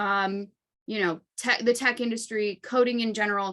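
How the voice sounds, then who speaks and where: This woman has a fairly high pitch and a bright, sharp tone. She sounds animated. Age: 30s. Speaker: coding bootcamp event host. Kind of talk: casual workshop hosting. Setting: video call. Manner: animated, many fillers.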